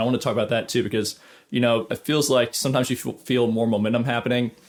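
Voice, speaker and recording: Speaking very fast at a medium pitch, a man keeps fairly even intonation on a very clean recording with a silent background. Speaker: studio guitarist and YouTuber. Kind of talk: casual advice talk to camera.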